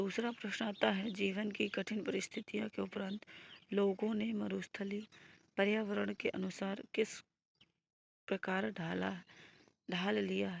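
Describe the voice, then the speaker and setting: Very slow and broken by long, frequent pauses, a woman's speech is captured dry and close with no echo. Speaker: teacher. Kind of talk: tutorial. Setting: online video class.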